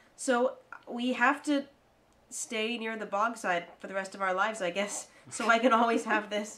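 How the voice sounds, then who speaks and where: At a moderate pace, a woman talks in a fairly high pitch. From US, Delaware County. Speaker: podcast co-host. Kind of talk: casual chat. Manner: animated.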